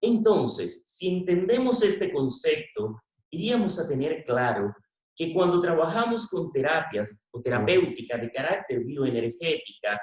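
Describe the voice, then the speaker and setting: Using a high pitch and very wide pitch swings, a man talks at a fairly slow pace. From Venezuela. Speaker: veterinarian. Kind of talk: conference talk.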